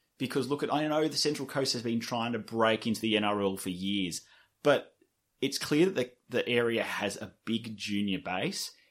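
Against a silent background in a very clean recording, a man with an Australian accent speaks at medium pitch with lively intonation. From Sydney inner west, Australia. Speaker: rugby league media creator. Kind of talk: casual chat.

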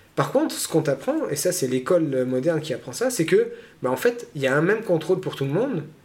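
A man's high-pitched voice runs at a very fast pace with lively intonation. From born abroad, moved to France as a child. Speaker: personal development coach. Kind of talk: interview. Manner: halting.

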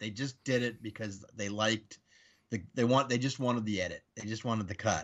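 This is a man with a normal speaking voice. His intonation stays fairly even. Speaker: podcast guest. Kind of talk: casual chat.

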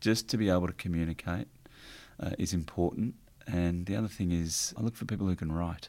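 Speaking at a fairly quick pace with an Australian accent, a man has a very deep, low pitch, a dark, mellow tone and ordinary pitch variation. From country Victoria, Australia (Warrnambool). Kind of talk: interview. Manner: halting.

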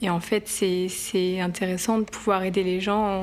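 Very slowly, a woman speaks at medium pitch in a monotone, flat intonation. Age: 20s. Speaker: psychiatry resident. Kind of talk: documentary interview.

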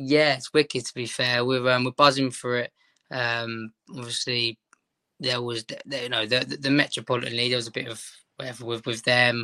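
Recorded dry and close with no echo, a man with a London accent speaks at a medium pitch and a fairly quick pace, his tone bright and sharp and his intonation monotone and flat. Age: 20s. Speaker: Sunday league footballer. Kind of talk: casual interview.

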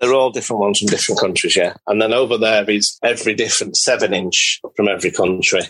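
The speech runs at a very fast pace with hardly any pauses. Its loudness stays very even. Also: man. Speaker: super fan and collector. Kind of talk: casual chat.

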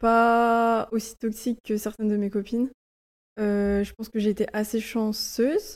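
A woman talks fairly slowly at a fairly high pitch, her intonation monotone and flat. The recording is very clean, with a silent background. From Brittany, France (Lorient). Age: 20s. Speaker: podcast guest. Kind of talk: personal testimony. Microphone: poor audio quality, early recording.

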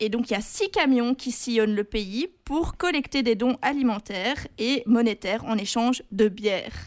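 In a very clean recording with a silent background, a woman with a fairly high pitch speaks at a fairly slow pace, with ordinary pitch variation and hardly any pauses. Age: 20s. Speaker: student radio co-host, news columnist. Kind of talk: scripted narration; casual chat.

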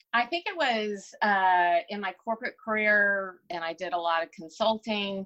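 With hardly any pauses, a woman with an American accent speaks at a medium pitch in a bright, sharp tone. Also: ordinary pitch variation, moderate pace. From Texas. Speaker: business owner. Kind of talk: interview.

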